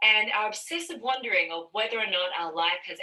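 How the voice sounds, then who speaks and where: A woman's voice, fairly high in pitch. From Australia. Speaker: stand-up comedian. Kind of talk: stand-up. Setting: pre-recorded video.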